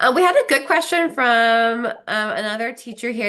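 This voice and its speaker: A woman speaks with a Pennsylvania accent in a bright, sharp, animated tone. Her pitch swings very widely at a moderate pace. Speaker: program host. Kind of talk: live Q&A chat. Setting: live video chat.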